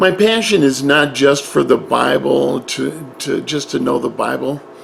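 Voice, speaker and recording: A man speaks with music in the background. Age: 60s. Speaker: Bible teacher. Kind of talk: personal introduction monologue. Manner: halting.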